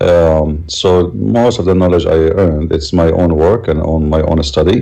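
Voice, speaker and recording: Speech with an Arabic accent and ordinary pitch variation, with audible room echo. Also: man. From Middle East. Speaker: religion critic, debater. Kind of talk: interview. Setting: live stream.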